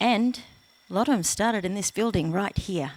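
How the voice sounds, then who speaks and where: This woman has an Australian accent. She speaks with lively, varied intonation. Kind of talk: panel discussion. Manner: hesitant with many fillers.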